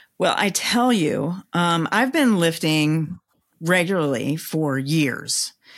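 A woman speaks at a very slow pace with a fairly low pitch. The recording is very clean, with a silent background. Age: 50s. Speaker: personal trainer and podcaster. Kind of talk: casual interview chat.

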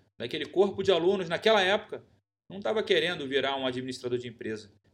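In a very clean recording with a silent background, a man with a Brazilian accent speaks with lively intonation. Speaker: podcast host. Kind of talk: solo podcast monologue.

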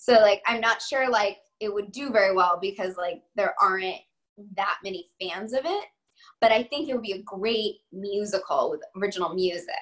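A woman with a normal speaking voice talks in an American accent at a medium pitch. Her pace is moderate and her pitch variation ordinary. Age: 30s. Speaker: actress. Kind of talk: casual interview chat.

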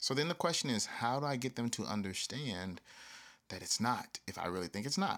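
A man with an American accent speaks at a medium pitch and a fairly quick pace, in a plain, everyday voice. The recording is very clean with a silent background. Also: lively intonation. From US South. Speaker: podcast host. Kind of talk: solo podcast monologue.

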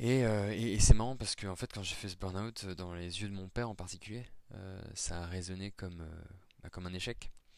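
A man with a fairly low pitch talks at a fairly quick pace, his intonation fairly even but his loudness swinging widely, in a very clean recording with a silent background. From France, Nancy (Lorraine). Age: 30s. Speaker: professional in career transition. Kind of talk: testimony. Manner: halting, many repetitions and fillers.

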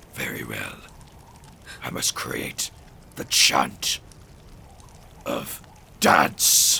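With clear background noise, a man does a raspy put-on character voice at a very slow pace, leaving long, frequent pauses. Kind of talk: tabletop character acting. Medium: actual play. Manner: solemn, theatrical.

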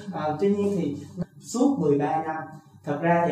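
Noticeable background noise and audible room echo accompany a man as he speaks. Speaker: podcast host. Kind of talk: interview.

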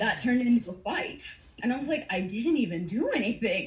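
A woman with an American accent and lively intonation, amid noticeable background noise. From US South, Atlanta, Georgia. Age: 30s. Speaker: domestic abuse survivor. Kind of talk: testimony.

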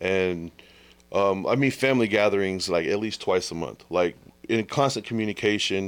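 A man with a Texan accent speaks at a fairly low pitch with ordinary pitch variation, on a very clean recording with a silent background. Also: moderate pace. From Texas. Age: 30s. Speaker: podcaster. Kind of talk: casual chat.

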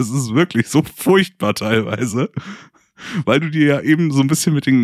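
With a dry, close sound and no echo, a man talks in an ordinary speaking voice at a moderate pace. His fairly high pitch carries lively intonation. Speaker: board game podcast co-host. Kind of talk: casual chat.

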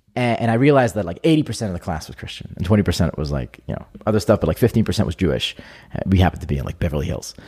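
The speaker talks very fast in a dark, mellow voice with vocal fry. Both pitch and loudness swing widely. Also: man, very deep, low pitch for a man. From Israel. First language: Hebrew. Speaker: entrepreneur. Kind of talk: casual interview chat.

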